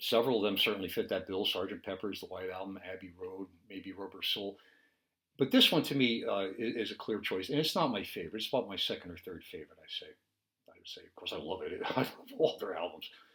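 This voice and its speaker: Speaking at a very fast pace in an American accent, a man's voice shows big swings in loudness. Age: 70s. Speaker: music commentator. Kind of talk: casual monologue.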